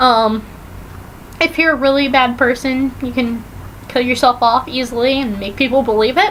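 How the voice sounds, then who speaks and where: A woman with a high voice talks at a moderate pace with ordinary pitch variation. She takes long, frequent pauses over noticeable background noise. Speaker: vlogger. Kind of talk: casual TV recap vlog. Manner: animated.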